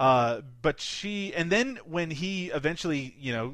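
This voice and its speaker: In a Canadian accent, a man talks at a fairly slow pace with ordinary pitch variation and an ordinary speaking voice. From Canada. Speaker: film podcast co-host. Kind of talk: casual chat.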